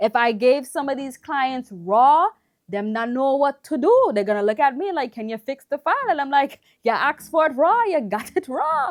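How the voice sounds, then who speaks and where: A woman with an American accent speaks at a high pitch with lively intonation and a moderate pace. The sound is dry and close, with no echo. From US (West Indian family heritage). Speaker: videographer / camera reviewer. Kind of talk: casual review chat.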